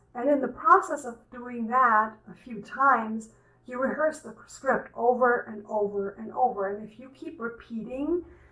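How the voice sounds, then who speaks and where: At a moderate pace, a woman speaks at a high pitch over noticeable background noise. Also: ordinary pitch variation, big swings in loudness. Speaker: career coach. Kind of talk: tutorial.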